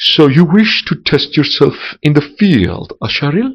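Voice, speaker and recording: In a put-on character voice, a man speaks softly at a fairly high pitch. His pace is moderate. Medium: read story. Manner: smooth, distrustful, condescending.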